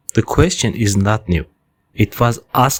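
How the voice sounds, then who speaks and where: Calm in tone and somewhat breathy, a man speaks at a fairly slow pace. The sound is dry and close, with no echo. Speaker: podcast host, city planner. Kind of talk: scripted narration. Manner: calm, measured storytelling.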